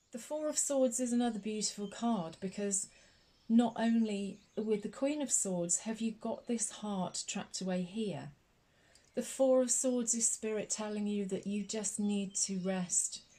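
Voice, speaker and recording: A woman's fairly high, somewhat breathy voice with a dark, mellow tone, ordinary pitch variation and a fairly slow pace. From Scotland. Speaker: tarot reader. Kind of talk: ASMR tarot reading. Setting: recorded with birdsong and a snoring dog in background. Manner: soft-spoken, slow-paced, soothing.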